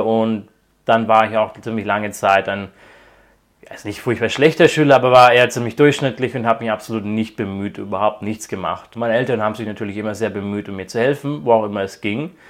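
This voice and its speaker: A man talks at a fairly quick pace, his intonation fairly even. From Croatia (raised by German parents). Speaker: PhD student in quantum computing. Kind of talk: interview. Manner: hesitant, many fillers.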